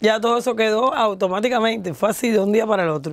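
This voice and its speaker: Recorded dry with no echo over light background noise, a woman talks at a fairly quick pace in a fairly high voice with ordinary pitch variation. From Cuba, Havana; Cuba. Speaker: singer; interviewee. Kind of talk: interview. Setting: studio. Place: studio. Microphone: lapel.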